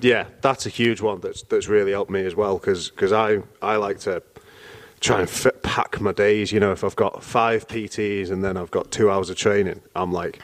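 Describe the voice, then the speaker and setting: A man with a British accent speaks at a moderate pace in monotone, flat intonation. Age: 20s. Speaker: personal trainer and MMA fighter. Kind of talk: casual chat.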